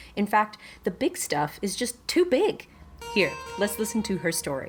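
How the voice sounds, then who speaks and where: With music in the background, a woman speaks at a moderate pace, her fairly high pitch swinging very widely. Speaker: podcast co-host. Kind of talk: podcast intro.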